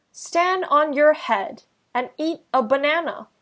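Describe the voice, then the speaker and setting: A woman's put-on character voice, high in pitch with lively intonation, at a fairly slow pace. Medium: read story.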